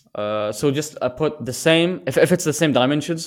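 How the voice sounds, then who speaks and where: The recording is very clean, with a silent background. On it, a man talks with a non-native accent. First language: not English. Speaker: podcast guest. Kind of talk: casual chat. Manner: halting.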